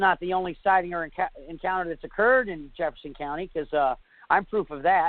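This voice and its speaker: A man with a slight northern US accent speaks at a very fast pace with big swings in loudness. His pitch is high for a man, with ordinary pitch variation. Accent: slight northern US (Yankee). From northern New York, US. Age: 40s. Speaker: bigfoot eyewitness. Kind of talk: interview testimony. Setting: internet radio show. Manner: halting, many fillers.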